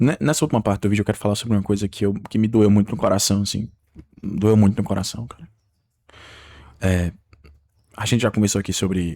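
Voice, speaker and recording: Over a silent background on a very clean recording, a man with a dark, mellow tone and a fairly low pitch talks at a fairly quick pace with fairly even intonation. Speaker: YouTuber. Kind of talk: unscripted video monologue. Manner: halting.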